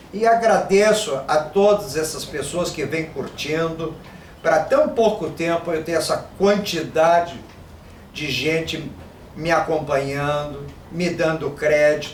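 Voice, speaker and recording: A man speaks at a very slow pace, his pitch fairly high and its variation ordinary. Noticeable background noise and audible room echo fill the recording. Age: 60s. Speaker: Yoruba language teacher and Afro-Brazilian religion practitioner. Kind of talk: monologue to camera. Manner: informal, conversational.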